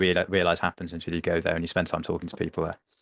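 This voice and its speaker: Against a quiet background, a man with a very deep, low pitch comes through in a dry, close sound with no echo. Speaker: health tech co-founder and doctor. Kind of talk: podcast interview. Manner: fast.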